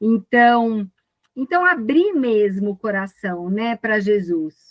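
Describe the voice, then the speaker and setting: Lively intonation marks this woman's speech in a Brazilian accent. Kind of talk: casual spiritual chat in live video call. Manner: animated.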